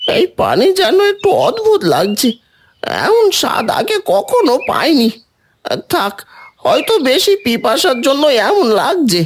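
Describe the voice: A cartoonish character voice, high in pitch with very wide pitch swings, at a fairly slow pace.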